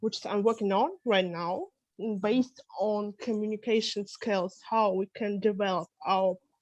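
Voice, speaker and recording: At a fairly slow pace, a woman speaks at medium pitch with fairly even intonation, her voice dry and close with no echo over a quiet background. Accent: Russian. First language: Russian. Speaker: psychologist and English teacher. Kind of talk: self-introduction.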